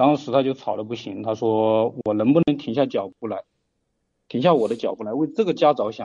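Speaking fairly quickly, a man uses ordinary pitch variation. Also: medium pitch for a man. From rural Hubei, China. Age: 30s. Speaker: caller seeking relationship advice. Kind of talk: call-in advice conversation. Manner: halting, many fillers.

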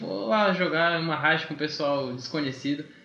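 A man's fairly slow speech with ordinary pitch variation, noticeable background noise and audible room echo. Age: 20s. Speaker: systems developer and freelance game developer. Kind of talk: casual chat. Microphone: too far from the mic.

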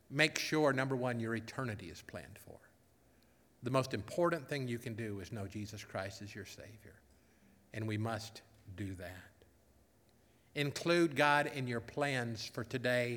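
At a moderate pace, a man with a medium pitch and ordinary pitch variation speaks with long, frequent pauses and big swings in loudness, and room echo is audible. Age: 50s. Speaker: pastor. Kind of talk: sermon.

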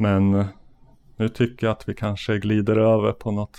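Here a man speaks at a fairly slow pace with a fairly low pitch. His tone is dark and mellow. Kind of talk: casual chat.

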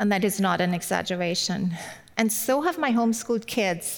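At a moderate pace, a woman talks in a German accent at a medium pitch with ordinary pitch variation. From Germany. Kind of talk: sermon. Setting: online video event.

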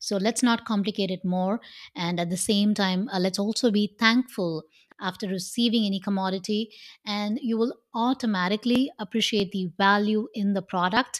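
In a very clean recording with a silent background, a woman talks at a moderate pace in a medium pitch. She has a normal speaking voice with ordinary pitch variation. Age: 40s. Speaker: podcast host. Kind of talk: solo motivational talk.

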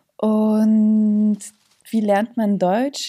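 A woman's fairly high, somewhat breathy voice with a dark, mellow tone. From Germany, moved from Yugoslavia as small child. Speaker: actress and author. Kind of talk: casual interview.

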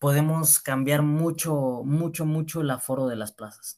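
A man talks at a very slow pace, his fairly high pitch showing ordinary variation. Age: 20s. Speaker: young bullfighter and event promoter. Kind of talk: casual interview.

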